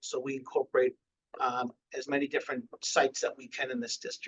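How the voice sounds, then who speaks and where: A man talks with a slight Boston accent. His pace is moderate. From Massachusetts, near Boston. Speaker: school food service director. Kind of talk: webinar presentation. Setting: online webinar.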